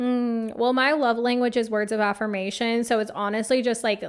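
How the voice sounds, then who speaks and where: In a very clean recording with a silent background, a woman talks. Her pace is moderate, and she has an American accent. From Phoenix, Arizona. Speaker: podcast host and life coach. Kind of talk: casual solo podcast chat.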